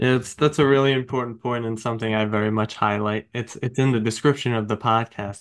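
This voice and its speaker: This man has a Long Island accent and a fairly low pitch, with fairly even intonation. He talks at a moderate pace against a quiet background. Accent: Long Island, New York. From Long Island, New York. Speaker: podcast host. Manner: conversational, casual.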